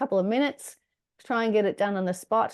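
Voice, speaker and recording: With an Australian accent, a woman speaks at a medium pitch with ordinary pitch variation. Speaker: decluttering workshop presenter. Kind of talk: online workshop presentation.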